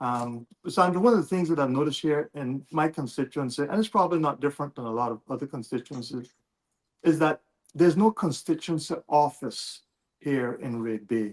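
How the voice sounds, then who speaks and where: A man's fairly quick, lively delivery with a dry, close sound and no echo. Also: fairly high pitch for a man. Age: 60s. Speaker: political candidate. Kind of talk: interview. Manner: hesitant, many fillers.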